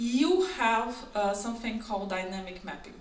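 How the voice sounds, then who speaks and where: In a non-native accent, a woman speaks at a moderate pace and a high pitch. The room echo is audible, and there is noticeable background noise. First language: not English. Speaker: software engineer. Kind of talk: conference talk. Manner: halting.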